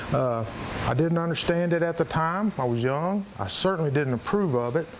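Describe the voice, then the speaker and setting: A man speaks at a moderate pace with noticeable noise in the background. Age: 60s. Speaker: hunting show host. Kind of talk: interview.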